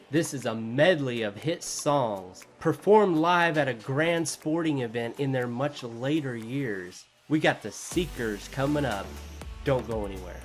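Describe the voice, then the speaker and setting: Over background music, an American-accented man speaks at a medium pitch, fairly slowly and with lively intonation. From United States. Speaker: music reaction YouTuber. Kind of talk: casual video intro to viewers. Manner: animated.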